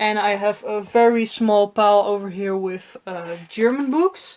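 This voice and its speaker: A woman with a Dutch accent talks at medium pitch with fairly even intonation. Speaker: book vlogger. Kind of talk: casual vlog talk. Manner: halting, many fillers.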